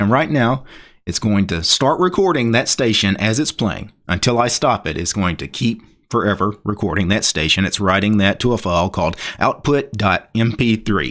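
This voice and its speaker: This man has a normal speaking voice. His pitch is fairly low. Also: lively intonation, moderate pace, very clean recording, silent background. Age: 40s. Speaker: tech YouTuber. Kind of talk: tutorial.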